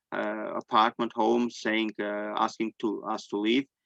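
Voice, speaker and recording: In an Armenian accent, a man speaks at a medium pitch and a moderate pace with monotone, flat intonation, the sound dry and close with no echo. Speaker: displaced person sharing testimony. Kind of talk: testimony. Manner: halting.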